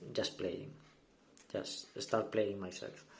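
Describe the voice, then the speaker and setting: A man speaks in a dark, mellow tone. There is audible room echo. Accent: non-native. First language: not English. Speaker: gaming YouTuber. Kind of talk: deck profile tutorial. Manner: halting, many fillers and repeats.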